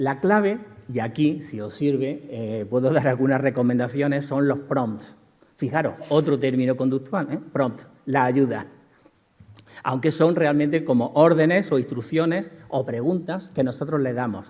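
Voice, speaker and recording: Over noticeable background noise and audible room echo, a man with a fairly high pitch speaks at a fairly slow pace with ordinary pitch variation. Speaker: lecturer in behavior analysis. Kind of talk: conference lecture. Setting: conference hall with audience.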